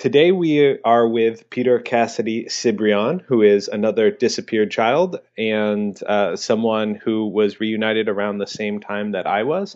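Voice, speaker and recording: A man with an ordinary speaking voice and a medium pitch talks at a fairly slow pace, with ordinary pitch variation and hardly any pauses. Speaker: podcast co-host. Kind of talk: interview conversation.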